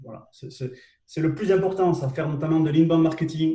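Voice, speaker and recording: A man's fairly high, dark and mellow voice at a fairly quick pace, with fairly even intonation. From southwest France. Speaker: LinkedIn trainer and live show host. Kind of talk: live webinar tutorial. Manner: hesitant, many fillers and repetitions.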